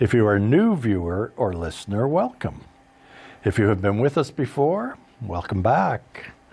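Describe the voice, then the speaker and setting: At a moderate pace, a man of medium pitch speaks with lively intonation and a dark, mellow tone, somewhat breathy and at very even loudness. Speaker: podcast host. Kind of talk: interview.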